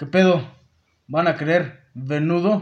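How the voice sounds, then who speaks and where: A man's plain, everyday voice, fairly high in pitch, with fairly even intonation. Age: 20s. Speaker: university student. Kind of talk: casual chat.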